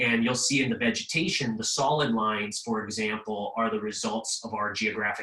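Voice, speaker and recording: Speaking at a fairly quick pace with hardly any pauses, a man has a plain, everyday voice of medium pitch and ordinary pitch variation. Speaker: history professor. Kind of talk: webinar presentation. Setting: video call.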